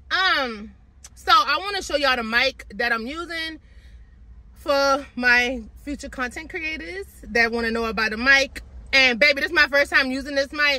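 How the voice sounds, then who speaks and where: Bright and sharp in tone, the raised, projected voice moves at a moderate pace with long, frequent pauses, and the sound is dry with no echo. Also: woman. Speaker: fitness vlogger. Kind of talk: casual vlog chat. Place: car.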